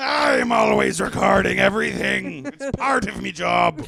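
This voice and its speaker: A man shouting in a put-on character voice at a moderate pace. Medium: comedy sketch. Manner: gruff, curt, resentful.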